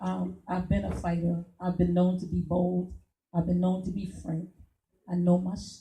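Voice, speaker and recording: A woman's fairly low, somewhat breathy voice with a dark, mellow tone, at a moderate pace in a monotone, flat intonation. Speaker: political candidate. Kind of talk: campaign speech. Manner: halting.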